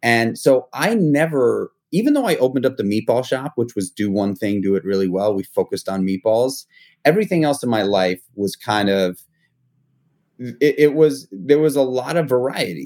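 A man with a New York accent, medium pitch, lively intonation and a moderate pace, in a dry, close sound with no echo on a very clean recording with a silent background. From New York City (Manhattan). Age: 40s. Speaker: restaurateur and entrepreneur. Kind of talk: interview. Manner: casual, with frequent repetitions and fillers.

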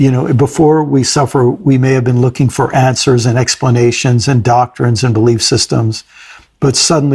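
This man's voice sits at a medium pitch and sounds somewhat breathy. He keeps a moderate pace with fairly even intonation. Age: 60s. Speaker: podcast host. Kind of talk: casual reflective conversation.

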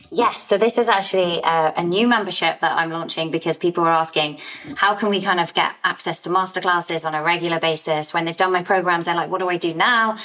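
Over noticeable background noise, the speech comes very fast with hardly any pauses and fairly even intonation. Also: woman, fairly low pitch for a woman. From England, Essex. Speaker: health coach, former lawyer. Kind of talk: interview.

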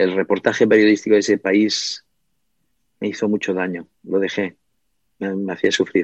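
A man speaks in a fairly low pitch with monotone, flat intonation, at a moderate pace with long, frequent pauses. The sound is dry and close with no echo, over a quiet background. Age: 50s. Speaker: book publisher and writer. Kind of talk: interview. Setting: small delicatessen shop.

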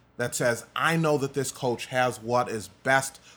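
A man speaks with an American accent at a medium pitch. His pace is fairly slow, with ordinary pitch variation. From US Midwest, DeKalb, Illinois. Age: 30s. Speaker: assistant principal and pastor. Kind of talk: casual interview conversation.

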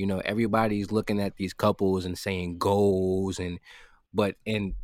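In a normal speaking voice, a man talks at a moderate pace with fairly low pitch and fairly even intonation. The sound is dry and close, with no echo. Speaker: guest with opinions on relationships. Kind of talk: casual chat. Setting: remote recording during quarantine.

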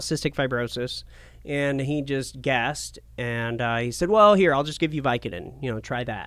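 At a moderate pace and with lively intonation, a man talks in an ordinary speaking voice on a very clean recording with a silent background. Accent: American. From Portland, Oregon. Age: 30s. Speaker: TV and radio personality. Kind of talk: casual interview.

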